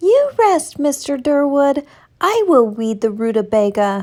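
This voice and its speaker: A woman's squeaky, put-on character voice, high in pitch, at a fairly slow pace. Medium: read story. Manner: innocent, playful.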